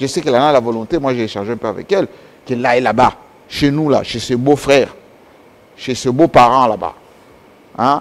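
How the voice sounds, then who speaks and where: A man speaks fairly quickly at a medium pitch with ordinary pitch variation. He leaves long, frequent pauses. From DR Congo, Kasai region; DR Congo. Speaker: political commentator; guest. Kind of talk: interview; interview answer. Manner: halting. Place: studio. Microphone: lapel.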